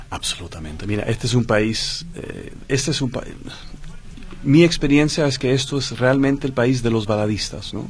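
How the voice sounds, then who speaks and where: The man's voice is somewhat breathy. His intonation is lively, and his pace is moderate. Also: medium pitch for a man. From Chile, Dutch mother. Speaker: singer. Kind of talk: radio interview.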